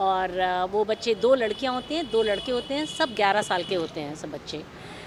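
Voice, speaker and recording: With lively intonation, a woman speaks at a moderate pace in a fairly high pitch. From India, Lucknow. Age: 60s. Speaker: school representative. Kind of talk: interview. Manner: hesitant, many fillers.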